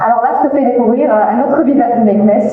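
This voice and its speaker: A woman talks fairly quickly in a room with audible echo and noticeable background noise. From Morocco, Meknes. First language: Arabic (Moroccan dialect) (speaking French). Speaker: TV journalist. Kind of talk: interview. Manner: hesitant, many fillers.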